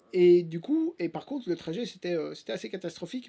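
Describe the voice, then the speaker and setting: In a very clean recording with a silent background, a man with a strong Belgian accent speaks in a high, dark, mellow voice with lively intonation. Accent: Belgian French, fairly strong. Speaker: actor and YouTuber. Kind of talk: casual vlog storytelling. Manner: hesitant, many fillers.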